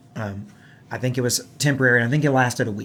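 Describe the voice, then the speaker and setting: Here a man talks with a Southern US accent at a medium pitch. His intonation stays fairly even. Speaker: gaming podcast host and musician. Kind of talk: casual chat.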